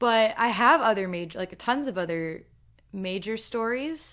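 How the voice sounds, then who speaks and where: On a very clean recording with a silent background, a woman with a plain, everyday voice talks at a fairly slow pace with ordinary pitch variation. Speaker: YouTuber, artist and writer. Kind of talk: solo livestream Q&A. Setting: livestream.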